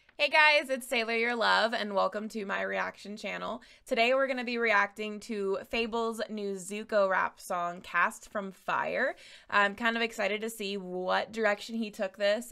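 A woman talks at a moderate pace with a bright, sharp tone and fairly even intonation against a quiet background. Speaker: reaction channel host. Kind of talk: casual reaction commentary. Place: home room. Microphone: studio mic.

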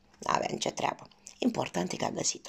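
A woman's whispering voice with a warm tone. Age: 50s. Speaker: cooking vlogger. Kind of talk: personal storytelling. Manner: warm, affectionate. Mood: warm, nostalgic. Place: home room. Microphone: phone near.

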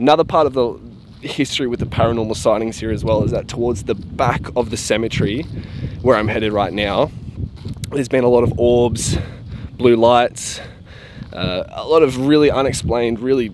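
Over noticeable background noise, a man talks at a fairly quick pace with ordinary pitch variation in a dry recording with no echo. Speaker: paranormal vlogger. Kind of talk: casual vlog chat. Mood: eerie storytelling. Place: open country. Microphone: phone near.

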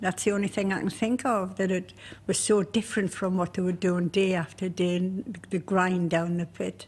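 Somewhat breathy, a woman with a Durham accent talks at a moderate pace and medium pitch with fairly even intonation on a very clean recording with a silent background. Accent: Durham (Pitmatic) English. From County Durham, northeast England. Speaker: miner's daughter. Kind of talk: interview.

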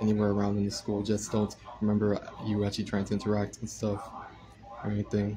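Speaking at a very fast pace, a man keeps a fairly low pitch and a monotone, flat intonation. Long, frequent pauses break up his speech over noticeable background noise. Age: 20s. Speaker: content creator; livestreamer. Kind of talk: casual chat. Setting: livestream. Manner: hesitant, many filler words. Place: home room. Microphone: phone near.

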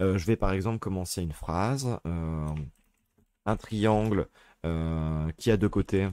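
A man with a very deep, low pitch and a dark, mellow tone speaks at a very slow pace, pausing long and often. His pitch variation is ordinary, and the recording is very clean, with a silent background. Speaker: teacher. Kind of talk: tutorial. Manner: hesitant, many fillers.

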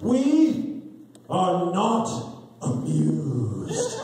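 Against a strong echo, a man performs a put-on character voice at a high pitch. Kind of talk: haughty. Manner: snobby, scolding.

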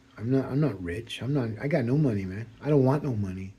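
The voice is dark and mellow in tone, somewhat breathy, with ordinary pitch variation and a moderate pace. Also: man. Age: 60s. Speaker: political commentator. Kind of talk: monologue. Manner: rambling, halting.

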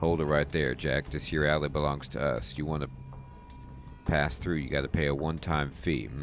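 A man puts on a raspy character voice with a very deep, low pitch at a moderate pace. Clear background noise is present. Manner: confrontational, demanding.

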